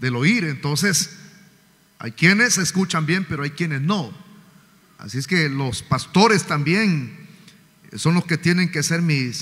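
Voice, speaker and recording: With lively intonation and a fairly high pitch, a man talks at a very slow pace, leaving long, frequent pauses. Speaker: pastor. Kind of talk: sermon. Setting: church. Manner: loud. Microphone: sound too quiet from pulpit.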